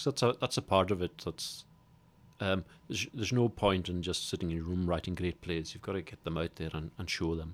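A man talks in a Hebridean accent. His pitch is very deep and low, with ordinary variation. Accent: Hebridean Scottish. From Scotland, Isle of Lewis. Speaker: playwright. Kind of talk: interview.

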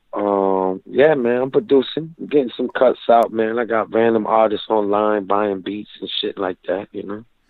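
A man's fairly even intonation with hardly any pauses, music in the background. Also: medium pitch for a man, moderate pace. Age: 30s. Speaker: rapper. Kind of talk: interview.

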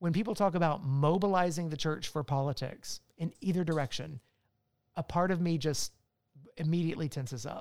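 An unremarkable speaking voice, a man with an American accent talks at a fairly quick pace in a fairly high pitch with ordinary pitch variation. The recording is very clean and silent behind him, with a dry, close sound and no echo. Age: 40s. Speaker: author and church resources leader. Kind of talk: casual chat.

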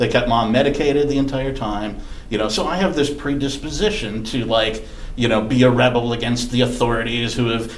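A man with an American accent talks at a fairly quick pace in a medium pitch. Noticeable background noise and audible room echo are present. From Wisconsin. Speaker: podcast host. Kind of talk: casual chat.

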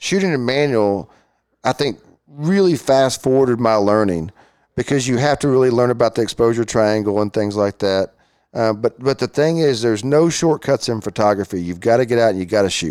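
Man with a Texan accent, medium pitch, lively intonation and a fairly quick pace, on a very clean recording with a silent background and a dry, close sound with no echo. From Texas, Fort Worth. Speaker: amateur photographer and businessman. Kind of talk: casual interview. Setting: studio.

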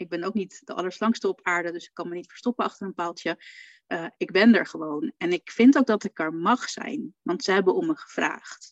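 An unremarkable speaking voice from a woman at medium pitch, fairly quick, with lively intonation and big swings in loudness, in a dry, close sound with no echo. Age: 40s. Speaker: funeral photographer. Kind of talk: casual chat in a live video stream. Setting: live stream in a Facebook group.

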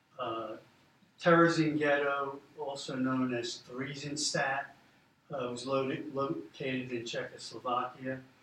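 A man with a plain, everyday voice and a fairly high pitch speaks at a fairly slow pace with fairly even intonation. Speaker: museum volunteer. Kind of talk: slide presentation narration. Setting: university roundtable with live audience.

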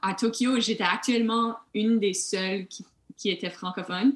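A woman with an Acadian accent at a fairly high pitch, very slow pace, and ordinary pitch variation. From New Brunswick (Moncton, Acadia). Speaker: Olympic steeplechase runner. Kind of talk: casual interview.

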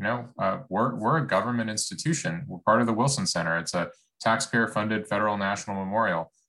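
The voice has a bright, sharp tone and moves at a fairly quick pace. The background is quiet. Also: man. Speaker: think tank director. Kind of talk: event introduction. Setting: video call.

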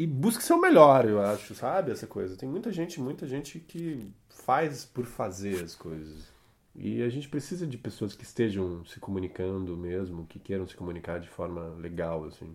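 Speaking at a moderate pace with hardly any pauses, a man uses a fairly low pitch. His pitch swings very widely and his loudness varies greatly. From Curitiba, Paraná, Brazil. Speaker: film and theatre actor. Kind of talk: casual interview. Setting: recorded at host's home.

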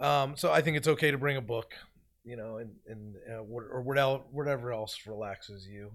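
With an American accent, a man talks in a plain, everyday voice at a medium pitch and moderate pace, with ordinary pitch variation and big swings in loudness, in a very clean recording with a silent background. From Philadelphia. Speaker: film assistant director. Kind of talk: casual interview.

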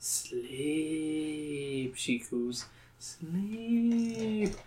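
A put-on character voice at a middle pitch. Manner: cooing, soothing, hypnotic.

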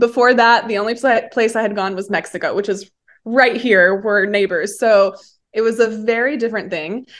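A woman at a moderate pace, ordinary pitch variation, quiet background. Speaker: nursing graduate and former model. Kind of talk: interview.

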